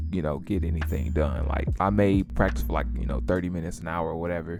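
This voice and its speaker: With a St. Louis accent, a man speaks at a very deep, low pitch and with lively intonation while music plays in the background. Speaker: music producer and content creator. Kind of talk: casual advice talk to camera. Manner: casual, conversational.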